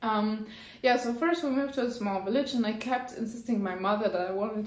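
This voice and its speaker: A woman with a fairly high voice speaks in a room with audible echo. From France. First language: French. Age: adult. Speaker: knitting YouTuber. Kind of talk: casual vlog monologue. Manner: halting, with frequent fillers.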